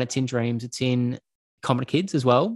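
Recorded with a dry, close sound, no echo and a quiet background, a man with an Australian accent talks at a moderate pace with ordinary pitch variation. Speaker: filmmaker. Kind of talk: interview.

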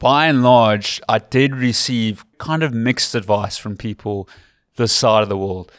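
A speaker with a Cape Town accent talks at a fairly slow pace, with ordinary pitch variation. The recording is very clean, with a silent background. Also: man. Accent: English-speaking South African, Cape Town. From South Africa, Western Cape. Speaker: rugby commentator. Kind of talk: casual interview. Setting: in person at a rugby club.

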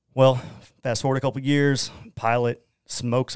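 On a very clean recording with a silent background, a man with an Oklahoma accent talks fairly quickly in a monotone, flat delivery. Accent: Oklahoman. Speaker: Bitcoin miner and entrepreneur. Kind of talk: casual interview. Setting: studio.

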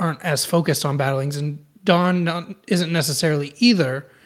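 A man speaks at a moderate pace with an American accent, a plain, everyday voice. His pitch is fairly high, with ordinary pitch variation, on a very clean recording with a silent background. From Austin, Texas. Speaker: podcast co-host, anime fan. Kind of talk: casual chat.

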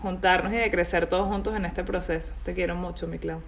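Audible room echo surrounds a woman speaking at a medium pitch with vocal fry. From Venezuela. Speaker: podcast host. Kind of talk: casual interview.

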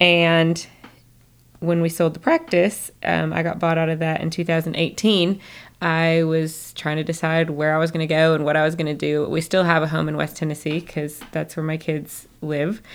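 The speaker has a slight Southern US accent and a moderate pace. Intonation stays monotone and flat. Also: woman, fairly low pitch for a woman. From Northern Michigan. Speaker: holistic doctor. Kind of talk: casual interview chat.

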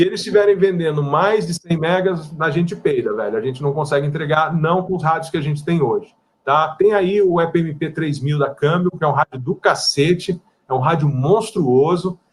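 A man talks at a moderate pace. His pitch is fairly high, with ordinary pitch variation. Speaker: wireless internet provider consultant and instructor. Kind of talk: casual live-stream interview. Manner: blunt, direct.

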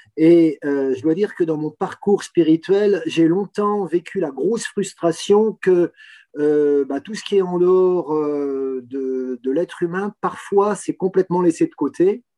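A man speaks at a fairly slow pace with a high pitch and a dark, mellow tone. The sound is dry and close, with no echo. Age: 60s. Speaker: retired engineer and environmental volunteer. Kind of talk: interview testimony. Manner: halting with fillers.

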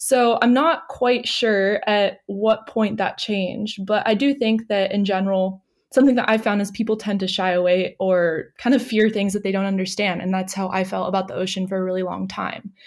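Here a woman talks at a moderate pace. Her medium pitch holds fairly even intonation. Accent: Californian. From US West Coast, San Diego. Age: 20s. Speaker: recent graduate, environmental writer. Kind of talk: interview conversation. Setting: remote call.

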